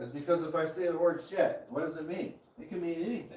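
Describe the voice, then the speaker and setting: Amid noticeable background noise and audible room echo, a man with an American accent speaks at a fairly quick pace. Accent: Southern accent, usually covered up. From US South. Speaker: live streamer. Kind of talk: casual chat. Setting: live stream at his property. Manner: casual, with frequent fillers.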